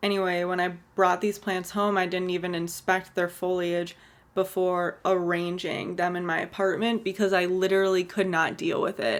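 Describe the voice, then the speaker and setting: A woman's medium-pitched voice at a moderate pace. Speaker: houseplant content creator. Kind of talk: casual talk to camera.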